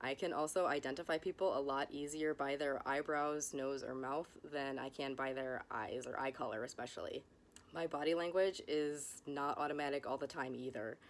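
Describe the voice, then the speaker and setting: Very deep, low pitch marks this woman's voice. She talks at a moderate pace with fairly even intonation. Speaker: educational content creator. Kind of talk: educational monologue. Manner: monotone.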